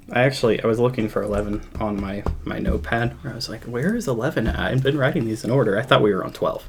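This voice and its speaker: A man with a medium pitch talks at a very fast pace with hardly any pauses. Background noise is noticeable. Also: ordinary pitch variation. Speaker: music podcast host. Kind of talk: casual chat. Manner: subdued, quieter than usual.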